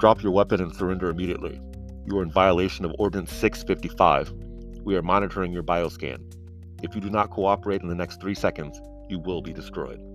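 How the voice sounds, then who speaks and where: Putting on a booming character voice, a man rattles along at a very fast pace while music plays clearly in the background. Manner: booming, authoritative.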